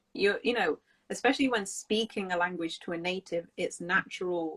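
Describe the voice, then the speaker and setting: A woman with a British accent speaks with ordinary pitch variation in a dry, close sound with no echo. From England. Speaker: English teacher hosting a live stream. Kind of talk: live stream casual chat.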